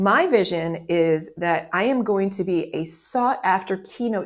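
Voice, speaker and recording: Speaking at a fairly slow pace, a woman uses a plain, everyday voice at medium pitch with ordinary pitch variation. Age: 60s. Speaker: life coach. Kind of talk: motivational video monologue. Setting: recording a video. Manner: casual, conversational.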